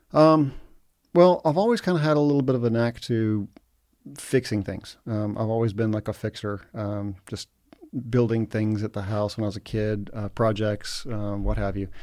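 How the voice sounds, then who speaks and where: With a plain, everyday voice and an American accent, a man speaks at a fairly low pitch and moderate pace, with ordinary pitch variation. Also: very clean recording, silent background. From Egypt (American expatriate). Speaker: real estate investor. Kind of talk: casual interview.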